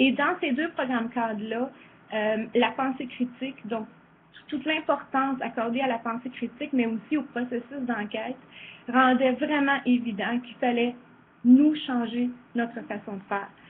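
At a fairly slow pace with long, frequent pauses, a woman with a high pitch speaks with fairly even intonation. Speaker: former teacher and presenter. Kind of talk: virtual conference presentation.

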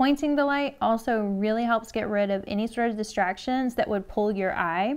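A woman's voice with ordinary pitch variation. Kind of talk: tutorial. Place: studio.

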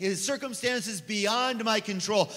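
A man projects a raised voice with ordinary pitch variation. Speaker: preacher. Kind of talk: sermon. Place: church. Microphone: handheld.

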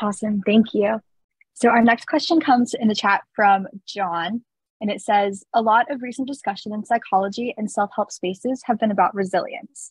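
A woman with a fairly high pitch and a somewhat breathy voice speaks at a moderate pace with ordinary pitch variation, in a dry sound with no echo and a quiet background. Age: young. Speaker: student moderator. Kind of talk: moderated Q&A. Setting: video call. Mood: friendly, upbeat. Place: home room. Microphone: video call.

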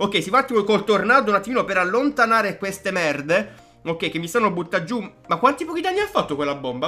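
Faint music sits in the background as a man talks in a raised, projected voice at a very fast pace. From Foggia, Apulia, Italy. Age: 20s. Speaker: gaming YouTuber. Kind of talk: gameplay commentary. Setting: home studio microphone. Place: home room.

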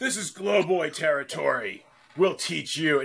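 A man does a put-on character voice, fairly high in pitch, at a moderate pace.

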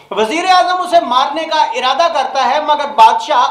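Strong room echo surrounds a man speaking in a fairly bright tone.

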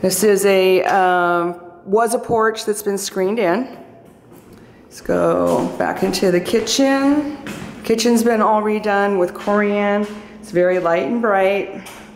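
In a room with audible echo and light background noise, a woman speaks at a very slow pace with ordinary pitch variation and big swings in loudness. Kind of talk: property tour narration. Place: home room. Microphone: phone near.

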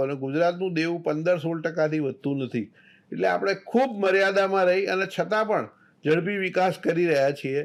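A man's high voice, with ordinary pitch variation, is captured in a very clean recording with a silent background. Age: 60s. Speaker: chartered accountant and government finance official. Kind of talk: interview.

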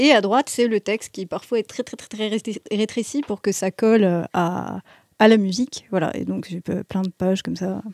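The sound is dry with no echo, over a quiet background. A woman speaks at a fairly slow pace with ordinary pitch variation and big swings in loudness. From Metz, France; France. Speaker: composer and musician; guest. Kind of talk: casual chat interview. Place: shop. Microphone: studio mic.

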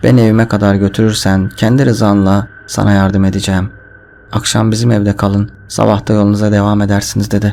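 This is an unforced reading voice. It is heard throughout the clip.

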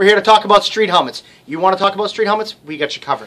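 A man's raised, projected voice over light background noise. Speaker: shop salesman. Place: shop. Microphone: headset.

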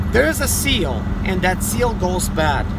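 A man's voice, dry with no echo, under loud background noise. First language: Russian. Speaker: mobile mechanic and YouTuber. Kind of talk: tutorial. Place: car. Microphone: phone near.

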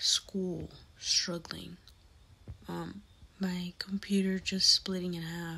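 A woman talks at a very slow pace with long, frequent pauses. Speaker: YouTuber. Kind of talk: casual vlog-style bloopers compilation. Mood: reflective, slightly tired. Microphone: phone near.

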